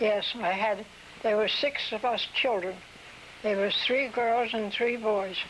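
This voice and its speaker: A woman's fairly high voice in a Mid-Atlantic American accent, fairly slow and fairly even in intonation, with very even loudness and noticeable background noise. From New Castle, Delaware. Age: 80s+. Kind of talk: interview answer.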